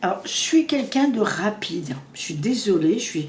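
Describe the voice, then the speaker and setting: A woman speaking at a very slow pace, with audible room echo. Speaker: psychic tarot reader. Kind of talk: tarot reading.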